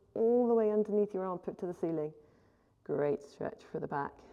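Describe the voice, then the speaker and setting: A woman with a medium-pitched voice speaks at a moderate pace. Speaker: pilates instructor. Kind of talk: workout instruction.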